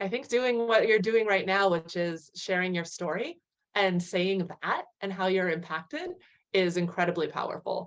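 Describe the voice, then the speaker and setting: A woman talks in a plain, everyday voice with an American accent. Her pace is moderate and her pitch variation ordinary. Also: medium pitch for a woman. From US, California. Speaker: physician. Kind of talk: panel Q&A answer. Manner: casual, with fillers.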